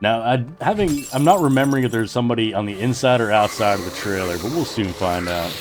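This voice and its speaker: Over noticeable background noise and audible room echo, a man with a medium-pitched voice talks at a very fast pace, with lively intonation and hardly any pauses. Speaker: gaming YouTuber. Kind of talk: gameplay voiceover commentary. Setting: voiceover recorded while editing. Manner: casual, unscripted; occasional stumbling on words.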